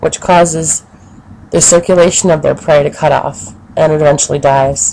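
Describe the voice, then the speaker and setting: A woman's dark, mellow voice with vocal fry, fairly even intonation and a moderate pace. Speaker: education student. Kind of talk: educational narration for children.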